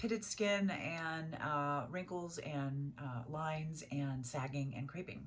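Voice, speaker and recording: A woman with a very deep, low voice talks very slowly, with ordinary pitch variation and hardly any pauses, over noticeable background noise in a room with audible echo. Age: 60s. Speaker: beauty vlogger. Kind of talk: tutorial. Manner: casual, hesitant with many fillers.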